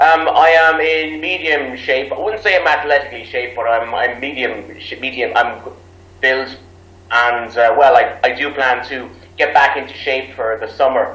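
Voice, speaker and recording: A man with an Irish accent, a fairly high voice, ordinary pitch variation and a moderate pace, with audible room echo. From Ireland. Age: 30s. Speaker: English teacher abroad. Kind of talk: interview.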